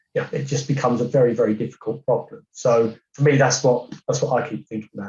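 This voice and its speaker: Somewhat breathy and dark, mellow in tone, a man speaks at a fairly quick pace in a medium pitch. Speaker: cybersecurity director. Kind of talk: podcast discussion.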